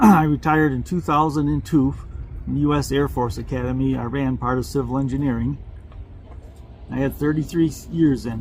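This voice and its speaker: A man speaks at a moderate pace with long, frequent pauses. There is noticeable background noise. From Vermont. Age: 70s. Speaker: retired civil engineering manager, travel vlogger. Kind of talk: casual interview chat.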